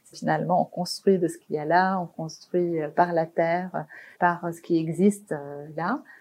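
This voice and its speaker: Against a quiet background, a woman with a fairly low voice talks at a fairly slow pace, her intonation fairly even and her loudness swinging widely. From Lebanon, Beirut. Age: 40s. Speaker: architect. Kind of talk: interview. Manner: halting.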